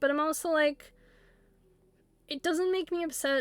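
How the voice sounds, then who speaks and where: This woman speaks with a northwestern American accent. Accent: northwestern American accent, noticeable. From US Pacific Northwest. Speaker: streamer. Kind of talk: casual chat. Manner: animated.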